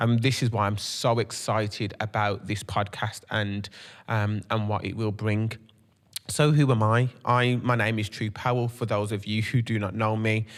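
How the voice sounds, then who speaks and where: With a strong Brummie accent, a man speaks at a moderate pace in a monotone, flat intonation and fairly low pitch, on a very clean recording with a silent background. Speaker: podcast host and creative entrepreneur. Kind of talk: podcast monologue. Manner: many filler ums.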